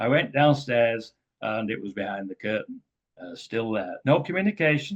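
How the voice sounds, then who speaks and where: This man has a medium-pitched voice with an English accent, lively intonation and a moderate pace. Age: 70s. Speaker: author and speaker on ET contact. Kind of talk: talk to a group. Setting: community center with audience.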